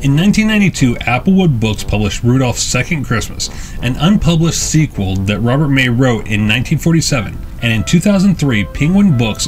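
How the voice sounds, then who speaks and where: With music in the background, a man talks at a moderate pace, his pitch swinging very widely. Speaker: channel narrator. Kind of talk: documentary narration.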